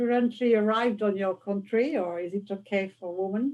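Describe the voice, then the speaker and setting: In a French accent, a woman speaks at a moderate pace with a dark, mellow tone and ordinary pitch variation. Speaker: interviewer. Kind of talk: interview.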